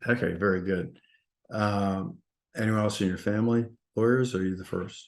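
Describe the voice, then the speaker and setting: At a moderate pace, the speaker talks in a Massachusetts accent with ordinary pitch variation and long, frequent pauses. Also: man, fairly low pitch for a man. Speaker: podcast host. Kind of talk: interview.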